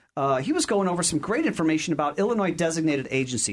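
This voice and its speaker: Talking at a very fast pace, the man has a fairly high pitch. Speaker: radio host. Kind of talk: radio talk show hosting. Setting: studio. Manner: enthusiastic, animated.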